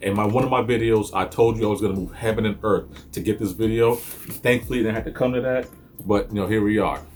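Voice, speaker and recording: Over music in the background, a man talks at a very fast pace and a medium pitch. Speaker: sneaker reviewer. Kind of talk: unboxing review. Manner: animated.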